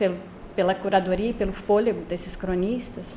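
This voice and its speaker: A soft-spoken woman talks at a moderate pace and a medium pitch. Audible room echo and noticeable background noise surround her. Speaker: anthropologist giving a talk. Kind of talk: academic lecture read from text. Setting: lecture room, no microphone. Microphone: no microphone.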